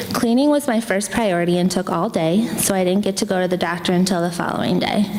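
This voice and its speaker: Over noticeable background noise, a woman speaks fairly quickly in an American accent. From Pennsylvania. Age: 20s. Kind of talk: personal essay reading on stage.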